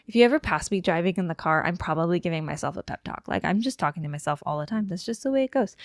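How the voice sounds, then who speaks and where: Recorded very cleanly against a silent background, a woman with a medium-pitched voice and lively intonation sounds dry and close, with no echo. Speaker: aspiring novelist and vlogger. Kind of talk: motivational pep talk to camera. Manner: fast.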